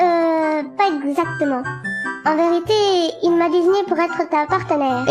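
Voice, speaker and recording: A cartoonish, female-sounding character voice speaks at an extremely high pitch and a moderate pace, with long, frequent pauses. Clear music plays in the background. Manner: snappy, sarcastic.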